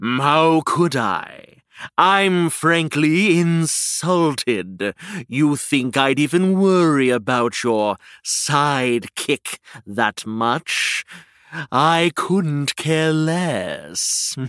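Using a put-on character voice, a man speaks very slowly at a fairly high pitch with lively intonation. His loudness stays very even, and the sound is dry and close with no echo. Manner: smug, dismissive, mocking.

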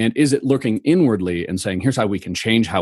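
A plain, everyday voice from a man with an American accent, fairly low in pitch, fairly quick and lively, over a quiet background. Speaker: customer experience consultant. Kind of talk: interview.

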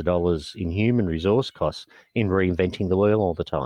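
A man with an Australian accent, very deep, low pitch, ordinary pitch variation and a fairly quick pace. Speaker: non-profit executive officer. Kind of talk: interview.

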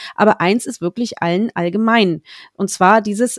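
In a very clean recording with a silent background, a woman uses a normal speaking voice at a medium pitch. Her pace is moderate, and the sound is dry and close with no echo. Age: 30s. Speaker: podcast host on book marketing. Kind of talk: interview.

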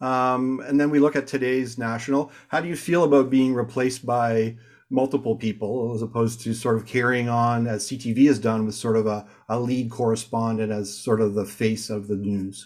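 A plain, everyday voice with a Canadian accent speaks at a moderate pace with fairly even intonation. The recording is very clean, with a silent background. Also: man, medium pitch for a man. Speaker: podcast host, corporate communicator. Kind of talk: interview.

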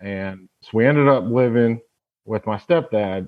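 An ordinary speaking voice with an American accent moves at a fairly slow pace with ordinary pitch variation. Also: man. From Tacoma, Washington. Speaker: former college football player, entrepreneur. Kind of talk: personal testimony.

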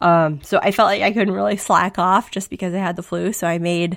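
Speaking at a fairly quick pace, a woman shows vocal fry and ordinary pitch variation. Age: 30s. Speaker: podcast host. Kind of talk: casual chat. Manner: animated, talkative, laughs often.

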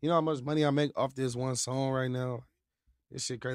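A man speaks at medium pitch. His intonation is monotone and flat. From Southern California, Victorville / Apple Valley. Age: 20s. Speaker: rapper. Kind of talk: casual interview.

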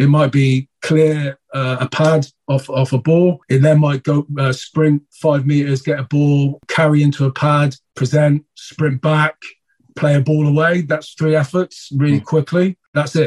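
The voice is somewhat breathy and flat in intonation, holding very even loudness at a fairly slow pace in a dry, close sound with no echo. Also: man, fairly high pitch for a man. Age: 40s. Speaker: rugby coach. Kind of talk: interview.

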